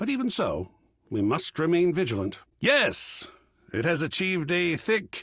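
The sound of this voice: A man's put-on character voice, fairly high-pitched with very wide pitch swings, a slightly husky edge and a fairly bright tone, at a fairly slow pace in a very clean recording with a silent background.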